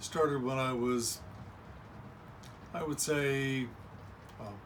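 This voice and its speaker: A man talks at a very slow pace with fairly even intonation. Noticeable background noise and audible room echo surround his voice. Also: medium pitch for a man. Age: 60s. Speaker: self-help video host. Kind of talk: motivational monologue.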